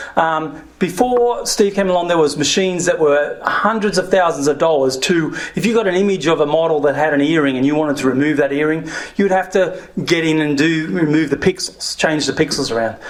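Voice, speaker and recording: A man with an Australian accent and a fairly high voice speaks at a fairly quick pace. His loudness is very even, his pitch variation ordinary, and background noise is noticeable. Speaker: former software entrepreneur, speaker. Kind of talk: talk to an audience.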